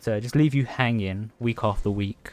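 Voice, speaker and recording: A man's medium-pitched voice at a moderate pace, dry and close with no echo, on a very clean recording with a silent background. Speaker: gaming content creator. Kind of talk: casual chat. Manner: monotone; halting.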